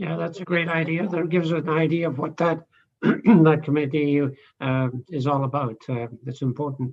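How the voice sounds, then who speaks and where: The speaker has a Scottish accent and a moderate pace. Pitch variation is ordinary. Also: man. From Scotland. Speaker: committee chair. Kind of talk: meeting chairing. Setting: video call.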